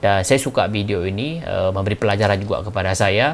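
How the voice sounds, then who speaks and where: Talking at a very fast pace, a man with a Malaysian accent has a fairly low voice. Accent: Malaysian Malay accent speaking Indonesian. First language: Malay (speaking Indonesian). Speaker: YouTube reaction commentator. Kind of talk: casual video commentary. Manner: hesitant, frequent fillers and restarts.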